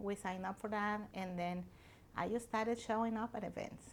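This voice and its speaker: A woman with a Mexican accent speaks at a medium pitch. Her pace is fairly quick and her intonation monotone and flat. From Mexico. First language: Spanish. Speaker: restaurant owner. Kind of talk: interview. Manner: earnest.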